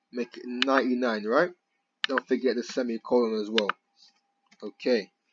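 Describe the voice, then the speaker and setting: A plain, everyday voice at a moderate pace with fairly even intonation. The sound is dry and close, with no echo. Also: man, medium pitch for a man. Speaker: programming tutor. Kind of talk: tutorial. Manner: casual slangy.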